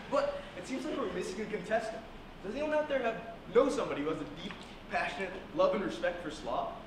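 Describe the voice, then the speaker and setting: This man's very fast speech comes with audible room echo and noticeable background noise. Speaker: host character in a comedy skit. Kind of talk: theatrical comedic announcement. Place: stage. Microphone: camera far.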